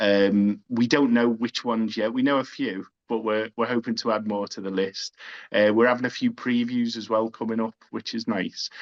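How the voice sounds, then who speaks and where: With a Liverpool accent, a man speaks at a moderate pace and medium pitch in a monotone, flat delivery, the sound dry and close with no echo against a quiet background. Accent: Scouse. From Liverpool, England. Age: 40s. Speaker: film director. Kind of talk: interview. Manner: halting.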